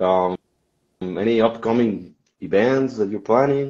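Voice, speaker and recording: Against a quiet background, a man with a Spanish accent speaks in a dark, mellow tone with ordinary pitch variation. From Mexico. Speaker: podcast host. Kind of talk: casual interview. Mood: friendly, relaxed. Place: home room. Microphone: video call.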